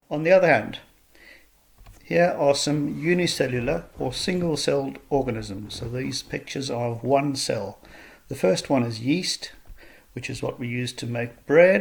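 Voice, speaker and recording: In a South African accent, a man with a fairly high pitch talks at a moderate pace, somewhat breathy, his intonation lively and his loudness swinging widely. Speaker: school science teacher. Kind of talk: recorded online lesson. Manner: explanatory, measured.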